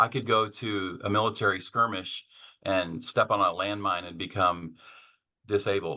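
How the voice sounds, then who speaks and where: A man with an American accent and an ordinary speaking voice, fairly low in pitch, at a moderate pace, with big swings in loudness. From Kansas. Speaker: author and seminary professor. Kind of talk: podcast interview.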